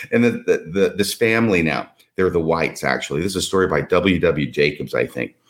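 At a fairly quick pace, a man speaks with vocal fry in a very deep, low voice. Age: 60s. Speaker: podcast guest discussing religious history. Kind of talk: casual chat. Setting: video call.

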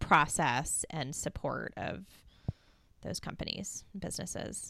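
A woman talks with a very deep, low pitch and vocal fry. Her pitch variation is ordinary. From US East Coast. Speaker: podcast host. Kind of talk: interview.

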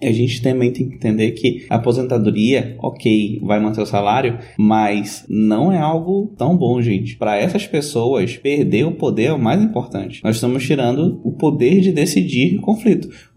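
Audible room echo around a man's medium-pitched, somewhat breathy voice, dark and mellow in tone, with ordinary pitch variation and a moderate pace. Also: hardly any pauses. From northern Brazil (Amazon region). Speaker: civil servant in the judiciary. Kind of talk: monologue commentary.

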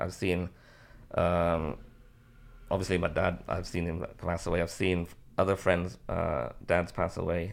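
A man with a Liverpool accent speaks in a very deep, low pitch at a fairly slow pace. The recording is very clean, with a silent background. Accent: Liverpool (Scouse). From Liverpool, England. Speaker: marriage coach. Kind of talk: interview conversation. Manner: hesitant, many fillers.

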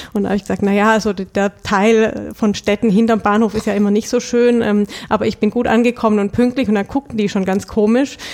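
With a southern German accent, the speaker talks at a fairly quick pace with hardly any pauses, very even loudness and a monotone, flat intonation. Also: woman, fairly high pitch for a woman. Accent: southern German, noticeable. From Stuttgart, southern Germany (Swabia). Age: 30s. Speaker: bank department head. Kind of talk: casual interview.

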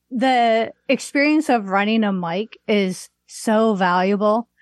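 A woman speaks very slowly in an American accent, her pitch fairly high with ordinary variation. The sound is dry and close with no echo, over a quiet background. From US Midwest, Chicago area (Waukegan). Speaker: comedian and online comedy business owner. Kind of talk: casual chat.

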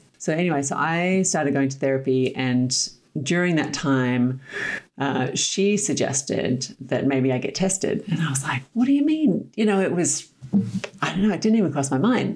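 A woman talks at a moderate pace in a very deep, low voice with lively intonation. Noticeable background noise runs underneath. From Australia. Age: 50s. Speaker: former Olympic athlete and life coach. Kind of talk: casual interview conversation.

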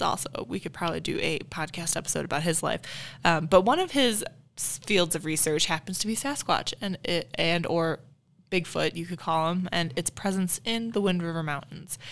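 A woman with an American accent speaks at a fairly low pitch and a moderate pace, with ordinary pitch variation. The recording is very clean, with a silent background. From Illinois, US Midwest. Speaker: museum staff podcast co-host. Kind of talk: casual chat.

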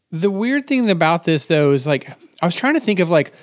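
A man talks in a plain, everyday voice at a fairly quick pace with lively intonation. The recording is very clean, with a silent background. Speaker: software developer podcast co-host. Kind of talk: casual technical discussion.

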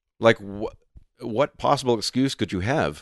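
A man with a plain, everyday voice speaks in a Canadian accent at a moderate pace, with lively intonation. The sound is dry and close, with no echo. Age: 40s. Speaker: singer and musician. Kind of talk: casual interview chat.

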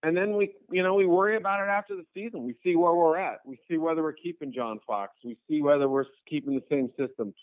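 A man with an ordinary speaking voice, an American accent and a fairly high pitch, at a fairly quick pace with lively intonation. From New England, US. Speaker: sports journalist. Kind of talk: interview.

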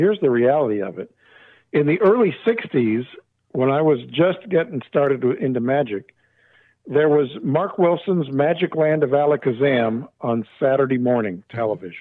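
Speaking at a moderate pace with an American accent, a man uses a fairly high pitch and lively intonation. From Southern California. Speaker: magician. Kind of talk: casual chat. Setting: phone call.

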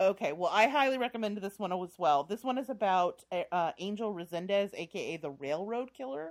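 Fairly quick and with hardly any pauses, a woman speaks in a normal speaking voice with an American accent. Her pitch is medium and her intonation lively. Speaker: podcast host. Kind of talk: casual chat.

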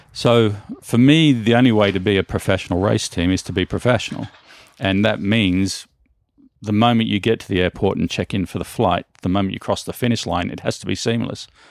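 In a very clean recording with a silent background, a man with an Australian accent speaks fairly quickly at a fairly low pitch with ordinary pitch variation. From Australia, northern Sydney. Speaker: mountain bike team manager. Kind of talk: interview.

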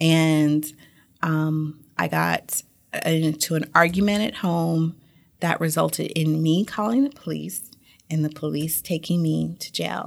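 In a very clean recording with a silent background, a woman with an American accent speaks at a very deep, low pitch. She talks at a fairly slow pace, with ordinary pitch variation. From Germany (Stuttgart), then US (Georgia, Oklahoma, Florida). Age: 30s. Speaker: tax attorney. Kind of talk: interview, personal testimony.

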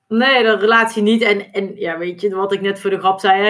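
Speaking with a Brabant accent, a woman talks at a fairly quick pace. Her medium-pitched voice stays monotone and flat. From Brabant, Netherlands. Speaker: duathlon world champion and accountant. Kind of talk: podcast interview.

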